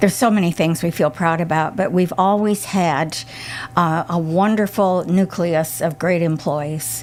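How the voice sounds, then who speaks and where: Over music in the background, a woman with an American accent speaks at a fairly slow pace, her fairly low voice holding fairly even intonation and very even loudness. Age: 80s+. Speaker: retired business owner. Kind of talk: radio interview.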